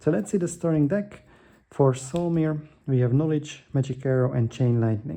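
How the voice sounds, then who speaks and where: A man speaks at a fairly high pitch in a dark, mellow tone. His loudness stays very even, his pace is moderate, and his pitch varies in an ordinary way. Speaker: board game youtuber. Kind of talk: gameplay tutorial. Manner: hesitant with fillers.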